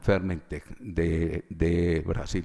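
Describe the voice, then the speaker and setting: Monotone and flat, a man's very deep, low voice has a dark, mellow tone. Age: 60s. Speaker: witness, chemical engineer. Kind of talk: court testimony.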